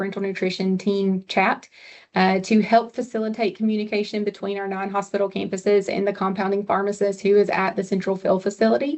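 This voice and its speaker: The speaker talks at a fairly quick pace in a Southern US accent. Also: woman. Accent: Southern US, noticeable on some words. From US South. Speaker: hospital pharmacist presenter. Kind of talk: webinar presentation. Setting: online webinar.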